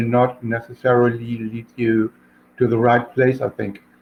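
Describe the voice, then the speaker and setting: A man with a German accent, speaking at a very slow pace. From Germany. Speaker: crypto community member. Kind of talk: casual chat. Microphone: microphone problems, cutting out.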